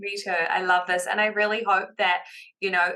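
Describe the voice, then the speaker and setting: A woman speaks in a New Zealand accent at a medium pitch. Her pace is fairly quick. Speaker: business confidence coach. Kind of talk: podcast interview. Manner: animated.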